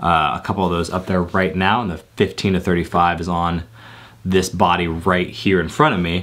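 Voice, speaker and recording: At a moderate pace, a man talks in a very deep, low voice with fairly even intonation. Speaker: tech video creator. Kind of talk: casual tech talk to camera. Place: home room.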